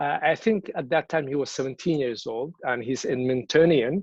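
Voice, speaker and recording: A man with a Somali accent speaks at a medium pitch with ordinary variation. The sound is dry and close, without echo. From Somalia. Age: 30s. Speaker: activist. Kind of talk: speech at a virtual event. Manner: repetitive false starts.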